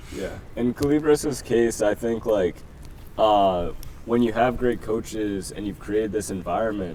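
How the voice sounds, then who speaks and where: With a New Jersey accent, a man speaks at a fairly slow pace in a fairly low pitch. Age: 20s. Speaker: football coach. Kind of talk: interview.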